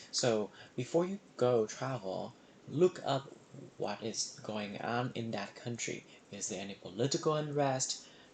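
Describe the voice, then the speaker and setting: Over noticeable background noise, a man with a Vietnamese accent speaks fairly slowly, his intonation lively. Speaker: emergency medicine resident physician. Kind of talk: reflective monologue. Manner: hesitant, many fillers.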